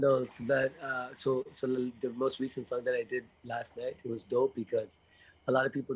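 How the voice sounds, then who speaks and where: A man talks with a Toronto accent. His pace is fairly quick. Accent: Toronto accent with Jamaican terms. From Toronto, Canada. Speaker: musician and beatboxer. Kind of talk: casual interview chat.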